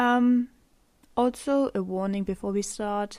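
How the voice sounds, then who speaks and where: A woman with a German accent speaks at a very slow pace. Her pitch is fairly high. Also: very clean recording, silent background. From Germany. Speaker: podcaster. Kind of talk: unscripted solo podcast monologue. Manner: halting, many pauses and fillers; rambling.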